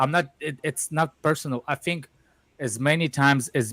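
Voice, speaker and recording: In a Russian accent, a man speaks at a fairly slow pace, with a dry, close sound, no echo, and a very clean recording over a silent background. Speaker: football fan panelist. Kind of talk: heated debate. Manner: halting.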